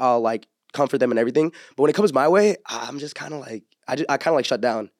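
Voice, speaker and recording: In an American accent, a man with a medium pitch talks at a very fast pace. The sound is dry and close, with no echo. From California, Orange County. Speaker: podcaster. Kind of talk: casual chat.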